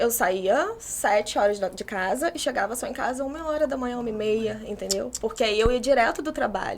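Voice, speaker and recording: A woman's high-pitched voice at a fairly quick pace with hardly any pauses, over noticeable background noise. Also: ordinary pitch variation. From Brazil, Macaé (Rio de Janeiro state). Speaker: architecture student. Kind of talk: casual interview chat.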